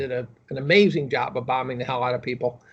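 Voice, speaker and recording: The man's voice is somewhat breathy. He moves at a very fast pace, with ordinary pitch variation. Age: 60s. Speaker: chemistry professor and amateur economist. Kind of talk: interview. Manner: halting, with repeats and fillers.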